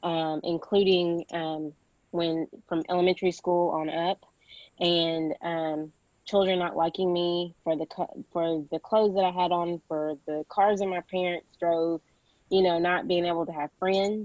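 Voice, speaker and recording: Her pitch is fairly low and her intonation monotone and flat. The woman talks at a fairly slow pace. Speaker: social services investigator on a webinar panel. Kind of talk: panel discussion. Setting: video call. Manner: loud.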